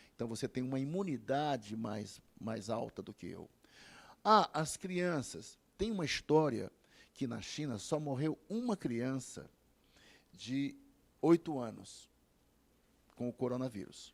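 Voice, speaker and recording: There are long, frequent pauses as a man speaks at a very slow pace. His voice sits at a medium pitch. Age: 70s. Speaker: medical doctor. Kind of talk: TV interview.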